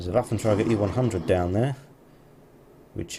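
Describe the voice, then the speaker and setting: Fairly quick and somewhat breathy, this man speaks at a fairly low pitch. His pitch variation is ordinary. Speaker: gaming commentator. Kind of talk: video game replay commentary.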